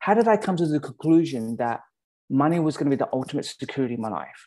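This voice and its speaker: A man speaks with an Australian accent in a dark, mellow tone. His voice sits fairly high, with lively intonation. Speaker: pastor. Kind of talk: sermon. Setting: virtual church service.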